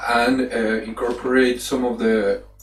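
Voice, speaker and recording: This is a man with a Colombian accent. Background noise can be clearly heard. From Colombia, Manizales. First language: Spanish. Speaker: animation artist. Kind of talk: presentation. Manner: halting.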